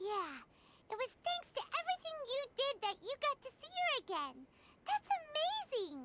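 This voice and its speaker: An extremely high, squeaky put-on character voice jumps through very wide pitch swings, with long, frequent pauses. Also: moderate pace. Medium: video game. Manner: excitable.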